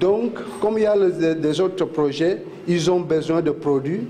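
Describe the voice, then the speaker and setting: With a non-native accent, a man talks at a very slow pace and a fairly high pitch, with ordinary pitch variation, audible room echo and noticeable background noise. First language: not French (speaking French). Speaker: oil plant guide. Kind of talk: guided site tour. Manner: halting, many fillers.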